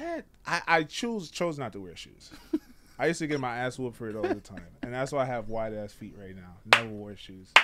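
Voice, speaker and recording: A man with an American accent speaks at a fairly quick pace, at medium pitch with ordinary pitch variation. His loudness swings widely. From Trinidad. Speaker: podcast guest. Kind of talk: casual chat.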